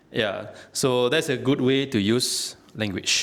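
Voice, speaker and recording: A man with a non-native accent at medium pitch, ordinary pitch variation, and audible room echo. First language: not English. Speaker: toastmasters language evaluator. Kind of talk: speech evaluation. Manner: halting, many fillers.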